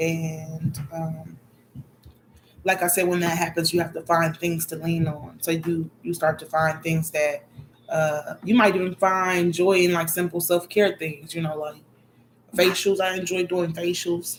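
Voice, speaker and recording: Soft-spoken, a woman talks at a fairly slow pace with monotone, flat intonation. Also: fairly low pitch for a woman. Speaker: spiritual vlogger. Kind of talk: casual vlog monologue.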